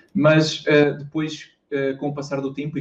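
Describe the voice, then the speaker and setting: A man with a fairly high pitch and a European Portuguese accent. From Portugal, interior (Viseu district). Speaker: YouTuber and university student. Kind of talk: casual interview. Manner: hesitant, repeats words.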